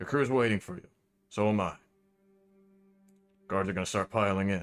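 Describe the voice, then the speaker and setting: A man does a put-on character voice at a fairly low pitch. He speaks at a fairly quick pace. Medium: actual play. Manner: terse, blunt.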